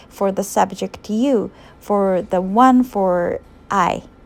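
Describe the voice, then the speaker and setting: A woman speaks with a Japanese accent. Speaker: university student and English teacher. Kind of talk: vlog narration.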